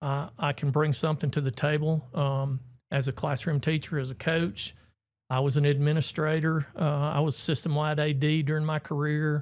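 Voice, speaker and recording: Monotone, flat delivery from a man with an Alabama accent, fairly high in pitch, at a moderate pace and very even loudness, on a very clean recording with a silent background. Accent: Southern US (Alabama). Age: 60s. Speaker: retired teacher and coach, school board candidate. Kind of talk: casual chat.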